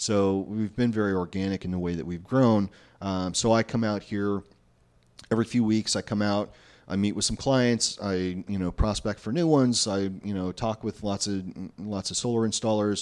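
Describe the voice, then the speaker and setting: The voice is an ordinary speaking voice with fairly even intonation and a moderate pace. The background is quiet. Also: man, fairly low pitch for a man. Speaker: solar sales director. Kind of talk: interview.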